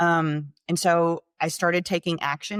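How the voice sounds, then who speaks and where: A woman with a plain, everyday voice speaks at a fairly low pitch with fairly even intonation, the sound dry and close with no echo on a very clean recording with a silent background. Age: 40s. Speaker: regenerative medicine company executive. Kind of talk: interview.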